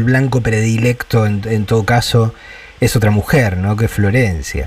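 A man's medium-pitched, an ordinary speaking voice, with fairly even intonation. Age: 50s. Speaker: radio host. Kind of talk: interview.

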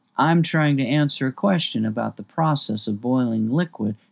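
Someone simply reads plainly aloud.

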